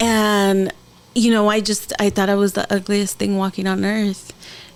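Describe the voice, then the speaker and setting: Noticeable background noise runs under a woman's fairly high-pitched voice. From San Diego, California. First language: Spanish. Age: 30s. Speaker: podcast host. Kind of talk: podcast interview.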